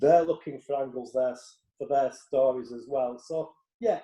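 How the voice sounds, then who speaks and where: In a Yorkshire accent, a man speaks with a fairly high pitch and a dark, mellow tone. His loudness swings widely. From Yorkshire, northern England. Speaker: tennis reporter. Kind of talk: interview.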